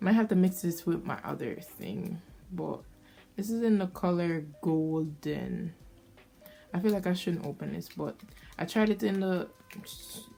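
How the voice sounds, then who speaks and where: Speaking with a Jamaican accent, a woman uses a fairly low pitch and ordinary pitch variation, with big swings in loudness. Long, frequent pauses break up her speech while music plays in the background. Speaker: beauty vlogger. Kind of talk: casual chat.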